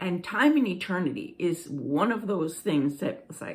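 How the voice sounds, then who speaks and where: Very slow speech over noticeable background noise. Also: woman. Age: 60s. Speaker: spiritual blogger. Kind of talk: casual talk. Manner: halting.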